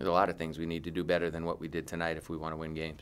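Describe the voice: A man talks at a very fast pace in an extremely low pitch. His tone is fairly bright and his intonation monotone and flat.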